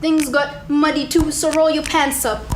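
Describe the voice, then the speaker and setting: Music can be heard behind the voice. Delivery is fairly slow. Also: woman. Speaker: spoken word poet. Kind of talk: spoken word poetry performance.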